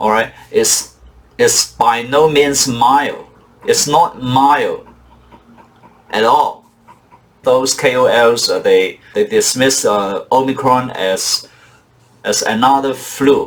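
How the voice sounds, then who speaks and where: A man's very slow speech with long, frequent pauses and very even loudness, noticeable background noise around it. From Hong Kong. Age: old. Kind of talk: casual talk to camera.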